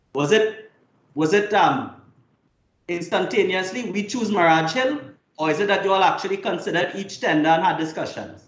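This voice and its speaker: High-pitched male voice with audible room echo. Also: ordinary pitch variation, moderate pace. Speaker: lawyer cross-examining a witness. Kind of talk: cross-examination at a hearing.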